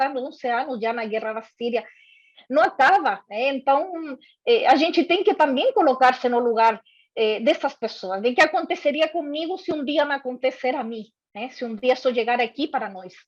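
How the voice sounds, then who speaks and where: A high-pitched woman in a strong Chilean accent, talking at a moderate pace with lively intonation and big swings in loudness against a quiet background. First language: Spanish (speaking Portuguese). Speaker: corporate diversity and inclusion head. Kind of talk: workshop talk. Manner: hesitant, frequent fillers.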